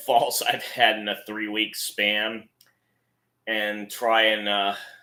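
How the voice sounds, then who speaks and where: A man speaks in a bright, sharp tone. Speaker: amateur play-by-play commentator. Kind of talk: live commentary intro.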